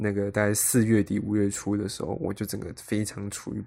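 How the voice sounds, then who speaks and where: In a very clean recording with a silent background, a man speaks at a moderate pace with a fairly low pitch and monotone, flat intonation. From Taiwan. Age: 20s. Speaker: podcast host, aspiring actor. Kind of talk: solo podcast monologue.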